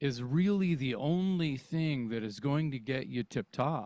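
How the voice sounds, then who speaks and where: Over a silent background in a very clean recording, a man with a fairly high pitch talks at a fairly slow pace, his pitch swinging very widely. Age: 60s. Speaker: rock singer. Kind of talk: casual chat.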